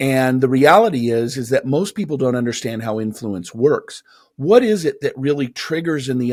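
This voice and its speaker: An ordinary speaking voice from a man with an American accent, medium in pitch and lively in intonation. He keeps a moderate pace on a very clean recording with a silent background. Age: 50s. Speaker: motivational speaker and author. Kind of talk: interview conversation.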